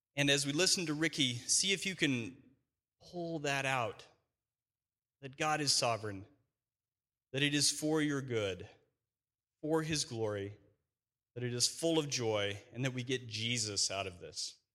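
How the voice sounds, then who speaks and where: A man talks with long, frequent pauses. His tone is bright and sharp, with lively intonation. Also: medium pitch for a man. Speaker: church member sharing testimony. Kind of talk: testimony. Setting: church. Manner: halting.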